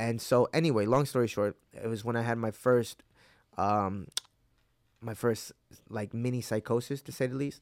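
Using a medium pitch and fairly even intonation, a man talks at a moderate pace with long, frequent pauses, in a dry, close sound with no echo. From upstate New York (Hudson Valley), born in Mexico. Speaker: MMA fighter. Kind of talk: casual interview chat. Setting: in-person studio interview.

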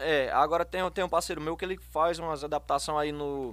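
Pitched fairly high, a man speaks at a moderate pace with fairly even intonation. The recording is very clean, with a silent background. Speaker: singer and hairdresser. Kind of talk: casual chat.

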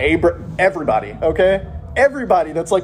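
This natural reading voice carries lively intonation.

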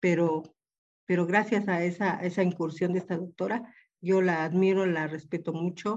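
The intonation is monotone and flat, at a moderate pace. The background is quiet. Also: woman, fairly low pitch for a woman. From Mexico, Oaxaca. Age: 70s. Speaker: engineering lecturer. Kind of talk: panel discussion.

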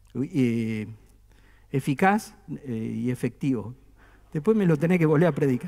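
A man's fairly high voice with a dark, mellow tone, lively intonation, a fairly slow pace and long, frequent pauses. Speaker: pastor. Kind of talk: sermon. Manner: conversational, with humor.

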